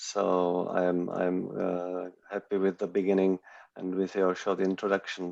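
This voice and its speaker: A man with a non-native accent speaks in a fairly low pitch. His tone is dark and mellow, and his pace is fairly slow. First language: not English. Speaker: talk show host. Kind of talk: online interview discussion. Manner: hesitant, many fillers.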